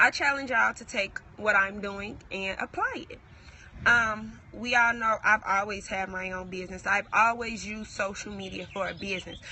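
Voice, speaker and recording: Amid noticeable background noise, a woman with medium pitch talks at a moderate pace with big swings in loudness. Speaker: entrepreneur vlogger. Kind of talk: motivational talk to camera. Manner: casual, halting.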